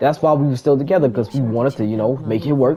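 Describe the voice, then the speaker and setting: A fairly high-pitched man with ordinary pitch variation, over noticeable background noise. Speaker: streamer. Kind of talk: casual storytime on stream. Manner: stuttering, halting.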